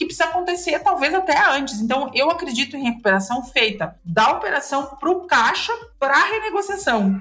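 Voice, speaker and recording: A woman's high, bright, sharp voice with a Rio Grande do Sul accent, very wide pitch swings, a fairly quick pace and hardly any pauses. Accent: Rio Grande do Sul (gaúcho). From southern Brazil, interior of Rio Grande do Sul. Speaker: lawyer specializing in corporate restructuring. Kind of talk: podcast interview, explanatory.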